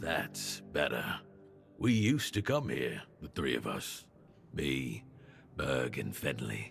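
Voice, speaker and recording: Putting on a character voice, a man growls out very deep, low-pitched, raspy, rumbling words at a fairly slow pace with long, frequent pauses, as clear music plays in the background. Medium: video game. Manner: grumbling, rambling.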